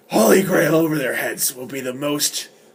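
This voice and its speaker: Putting on a character voice, a man speaks at a moderate pace in a dramatic tone, his pitch fairly high. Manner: dramatic, growling.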